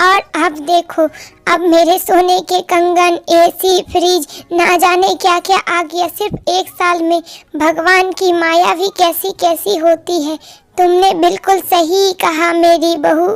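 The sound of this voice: A woman does a cartoonish character voice, extremely high and monotone, at a fairly slow pace, in a dry, close recording with no echo.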